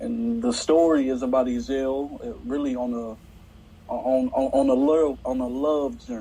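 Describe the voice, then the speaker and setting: In a room with audible echo, a man talks at a fairly slow pace and medium pitch, with ordinary pitch variation. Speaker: stage actor. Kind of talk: interview. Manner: halting.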